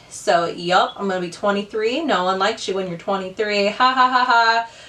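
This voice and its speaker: A woman speaks in an animated tone with ordinary pitch variation. Noticeable background noise is present. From Ohio, US. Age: 20s. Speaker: beauty youtuber. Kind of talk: casual chat while doing makeup. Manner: chatty, animated.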